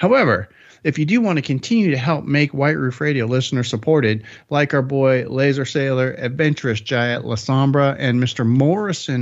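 This is a man with a medium pitch and an unremarkable speaking voice. He keeps a moderate pace and ordinary pitch variation against a quiet background. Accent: American. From Arizona. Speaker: podcast host. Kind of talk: casual chat.

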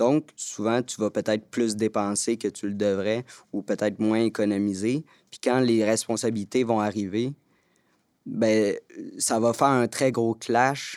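A man's normal speaking voice at a medium pitch and fairly slow pace, with a dry, close sound without echo on a very clean recording against a silent background. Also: fairly even intonation. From Quebec, Montreal. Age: 20s. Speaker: youth spokesperson. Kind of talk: round-table discussion.

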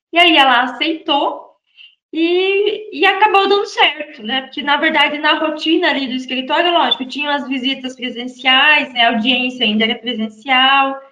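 Raised and projected, a woman's high, bright, sharp voice moves at a moderate pace with lively intonation. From Brazil, Santa Catarina. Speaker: real estate lawyer. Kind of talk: interview guest.

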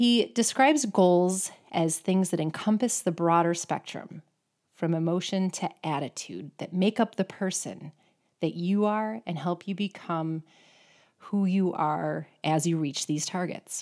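Against a silent background in a very clean recording, a woman speaks fairly slowly in an unremarkable speaking voice, pitched fairly low. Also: ordinary pitch variation. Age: 40s. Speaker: podcast host and amateur athlete. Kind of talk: solo monologue.

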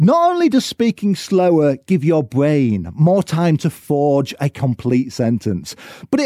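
At a fairly slow pace, the speech has a dry, close sound with no echo on a very clean recording with a silent background. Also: man. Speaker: podcast host, business co-founder. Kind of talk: solo podcast monologue. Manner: energetic.

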